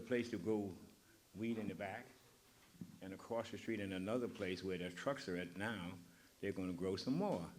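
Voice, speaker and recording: Speaking at a fairly quick pace with a fairly low pitch and fairly even intonation, a man is heard with audible room echo. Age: 80s+. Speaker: community member and builder. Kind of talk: community forum remarks. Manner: halting. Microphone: poor recording quality.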